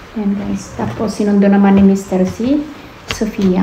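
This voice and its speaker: A soft-spoken woman at a medium pitch is heard with noticeable background noise and audible room echo. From Philippines. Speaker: family vlogger. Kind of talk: casual vlog talk.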